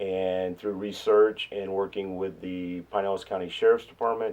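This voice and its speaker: The man talks at a moderate pace. His pitch is fairly low. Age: 60s. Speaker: nonprofit director. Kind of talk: documentary interview. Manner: halting.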